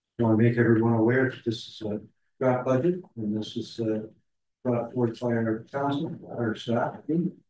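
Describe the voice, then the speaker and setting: A man talks at a moderate pace. Light background noise and audible room echo surround his voice. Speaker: meeting chair opening council session. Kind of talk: formal meeting chairing. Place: hall.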